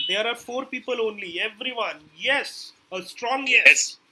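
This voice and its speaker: At a moderate pace, a man raises and projects his voice at an extremely high pitch. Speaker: digital marketing trainer. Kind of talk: live online class.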